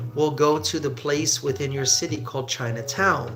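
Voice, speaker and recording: With music in the background, a man speaks at a fairly slow pace and with fairly even intonation. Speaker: English teacher. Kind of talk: live stream Q&A to viewers.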